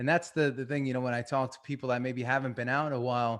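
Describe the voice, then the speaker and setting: Medium-pitched speech from a man with a Long Island accent, delivered in a flat monotone. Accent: Long Island New York. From Long Island, New York. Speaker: performance coach. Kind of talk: webinar talk.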